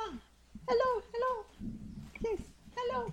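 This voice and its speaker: A creaky, put-on character voice at a moderate pace. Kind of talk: broken common, halting.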